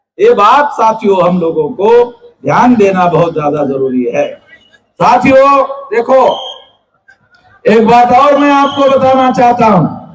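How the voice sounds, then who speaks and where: A man's extremely high-pitched, animated voice with lively intonation, very even loudness, long, frequent pauses, and audible room echo. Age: 60s. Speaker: political activist leader. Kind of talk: political speech to rally. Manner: animated, addressing crowd.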